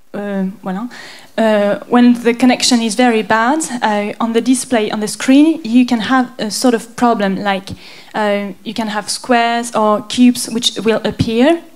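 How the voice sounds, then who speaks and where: With a French accent, the speaker talks at a fairly slow pace and fairly even intonation over noticeable background noise. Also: woman, fairly high pitch for a woman. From France. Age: 20s. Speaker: graphic designer and conceptual artist. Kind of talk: artist presentation. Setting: stage with audience. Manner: halting.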